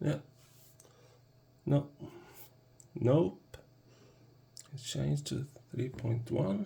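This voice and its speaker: Speaking at a very slow pace with long, frequent pauses, a man with a medium pitch has a dark, mellow tone, vocal fry and ordinary pitch variation. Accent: non-native. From Sweden. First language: Swedish. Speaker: product reviewer. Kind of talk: product review tutorial. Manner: halting, hesitant.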